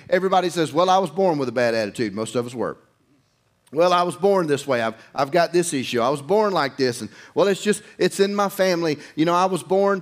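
The background stays quiet as a man talks at a very fast pace. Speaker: preacher. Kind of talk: sermon. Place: church.

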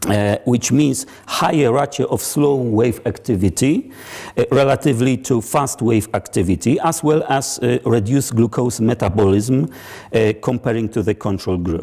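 In a quiet background, a man speaks at a moderate pace with a dark, mellow tone, ordinary pitch variation, and very even loudness. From Poland. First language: Polish. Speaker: psychology researcher; guest lecturer. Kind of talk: lecture. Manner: halting, many fillers; formal. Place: hall. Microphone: lapel.

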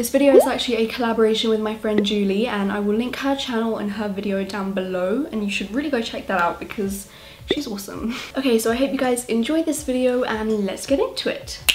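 Over noticeable background noise, a woman talks very fast with hardly any pauses and ordinary pitch variation. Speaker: beauty vlogger. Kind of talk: casual vlog chat. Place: home room.

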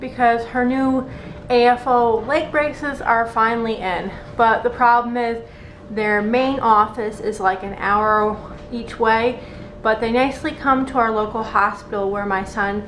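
A woman at a fairly slow pace with fairly even intonation over light background noise. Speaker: parent vlogger. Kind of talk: casual vlog chat. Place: kitchen. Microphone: phone near.

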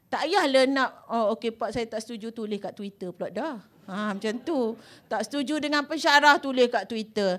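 A woman's pitch varies in an ordinary way while she talks at a moderate pace. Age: 50s. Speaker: law professor. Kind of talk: public talk to students. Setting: stage with audience. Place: hall. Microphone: handheld.

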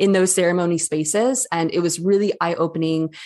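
With an American accent, a woman with a fairly low pitch and ordinary pitch variation speaks over a quiet background. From western Michigan. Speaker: breathwork teacher. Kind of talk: interview.

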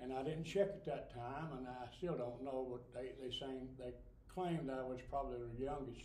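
A man at a moderate pace with ordinary pitch variation, light background noise and audible room echo. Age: 80s+. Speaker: Navy veteran. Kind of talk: interview answer. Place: hall. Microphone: camera far.

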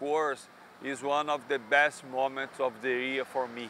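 This voice, with a Brazilian accent, keeps a fairly even intonation over light background noise, and the sound is dry with no echo. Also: man. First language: Portuguese. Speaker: economics professor. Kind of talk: interview monologue. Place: street. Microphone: lapel.

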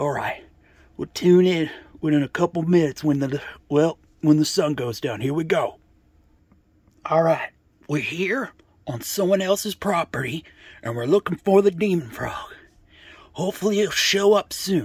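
A man's cartoonish character voice, high in pitch, at a moderate pace with long, frequent pauses. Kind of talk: homemade puppet comedy, vlog intro. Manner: chatty, excited, casual.

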